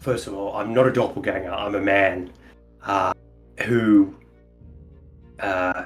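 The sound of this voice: A man puts on a gruff character voice at a fairly slow pace. Faint music plays in the background.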